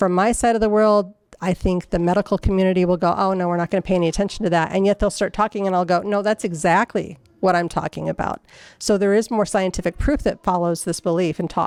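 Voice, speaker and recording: Very fast female speech with very even loudness, fairly even intonation and a dry, close sound with no echo. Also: medium pitch for a woman. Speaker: conference speaker. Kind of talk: conference talk. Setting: stage with audience. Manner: halting.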